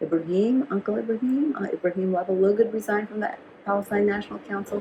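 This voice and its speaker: Someone with an American accent speaks at a fairly quick pace. Noticeable background noise runs underneath. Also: woman. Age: 80s+. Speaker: activist and educator. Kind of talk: interview conversation. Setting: at home. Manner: halting, with repetitions.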